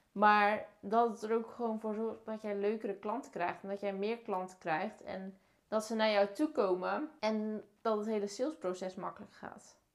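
Using a plain, everyday voice, a woman with fairly high pitch speaks at a moderate pace with fairly even intonation and hardly any pauses. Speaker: podcast host, marketing and visibility consultant. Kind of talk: casual interview chat. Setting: at the host's home.

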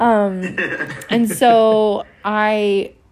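A woman is speaking. She has a Western Canadian accent. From Canadian Prairies (Lloydminster, Alberta/Saskatchewan). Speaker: singer-songwriter and restaurateur. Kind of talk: interview testimony.

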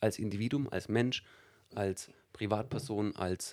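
A man with an Allgäu accent speaks at a fairly slow pace and a fairly low pitch. His intonation is fairly even, and the recording is very clean with a silent background. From Allgäu, Bavaria, Germany. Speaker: stage host and business presenter. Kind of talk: interview. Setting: studio.

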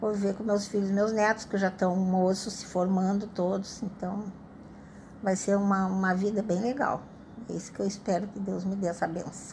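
A woman speaks in a flat monotone at a moderate pace. Her voice is somewhat breathy, and room echo is audible. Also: medium pitch for a woman. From Bagé, Rio Grande do Sul, Brazil. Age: 70s. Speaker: retired widow. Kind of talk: interview testimony. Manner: halting.

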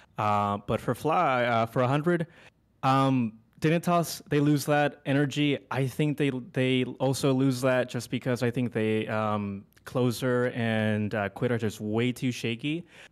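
At a very slow pace, a man with an American accent speaks at medium pitch with ordinary pitch variation. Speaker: caller. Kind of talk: casual chat. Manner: halting.

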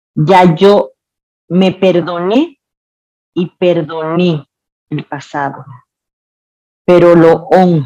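A woman with a Dominican Cibao accent speaks at a very slow pace, with long, frequent pauses. Her voice is fairly low and dark, with a mellow tone and fairly even intonation. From Dominican Republic, Santiago. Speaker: cook and restaurant owner. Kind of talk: interview storytelling.

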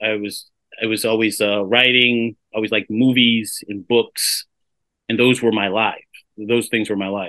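In a dry, close sound with no echo, a man speaks at a fairly slow pace and a medium pitch with a bright, sharp tone and monotone, flat intonation. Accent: American. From Sacramento, California. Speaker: playwright and theater director. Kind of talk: interview. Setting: video call. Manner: halting.

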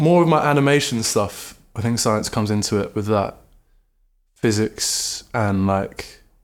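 A man with a southern English accent talks at a fairly low pitch with ordinary pitch variation in a very clean recording with a silent background. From southern England, Brighton. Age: 20s. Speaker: artist and musician. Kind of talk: casual chat. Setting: in-person studio interview.

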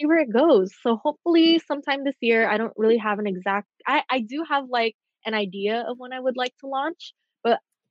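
With an American accent, a woman talks at a moderate pace in a fairly high pitch with ordinary pitch variation. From Southern California. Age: 20s. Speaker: fashion designer. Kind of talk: casual chat.

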